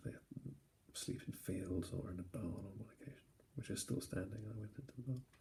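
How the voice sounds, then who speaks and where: Soft-spoken, at a moderate pace. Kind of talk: sleep-inducing travel talk. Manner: soft-spoken, rambling.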